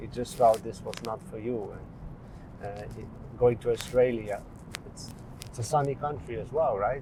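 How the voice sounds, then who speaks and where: A man with a medium pitch and ordinary pitch variation talks at a moderate pace, taking long, frequent pauses. His loudness swings widely over noticeable background noise. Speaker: podcast host. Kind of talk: podcast interview questions, casual talk. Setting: outdoors, walking.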